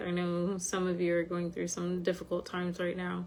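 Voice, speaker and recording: A woman's fairly low voice with a monotone, flat intonation. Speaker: spiritual teacher. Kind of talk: casual chat. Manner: frequent hesitations (um).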